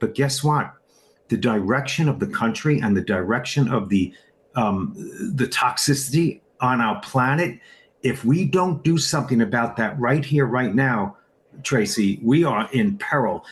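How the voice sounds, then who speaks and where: A man speaks at a fairly slow pace in a medium-pitched, somewhat breathy voice with lively intonation. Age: 60s. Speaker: supplement distributor. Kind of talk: interview. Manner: animated.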